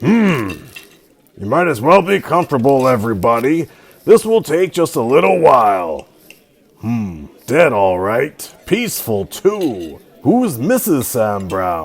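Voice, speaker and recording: Using a put-on character voice, a man at medium pitch moves at a fairly slow pace with very wide pitch swings. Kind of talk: 1940s radio acting. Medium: old radio play. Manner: calm, matter-of-fact.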